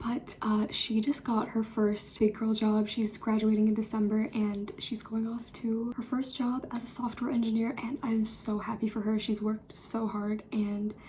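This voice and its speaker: Quiet and fairly high-pitched, a woman talks at a moderate pace in a monotone, flat intonation over noticeable background noise. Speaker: college student vlogger. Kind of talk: casual vlog. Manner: chatty, filler-heavy.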